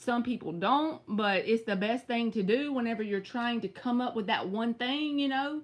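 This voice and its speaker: In a Southern US accent, an animated woman talks at a moderate pace with hardly any pauses, her fairly high pitch showing ordinary variation. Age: 30s. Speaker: tarot reader. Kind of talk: live stream tarot reading.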